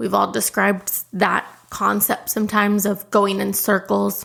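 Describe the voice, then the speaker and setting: A medium-pitched woman at a moderate pace in a very clean recording, silent background. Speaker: podcast host. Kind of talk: podcast monologue. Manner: loud.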